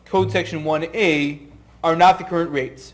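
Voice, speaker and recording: Audible room echo surrounds a man speaking at a moderate pace in a high voice with ordinary pitch variation. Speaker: tax lawyer. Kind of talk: lecture.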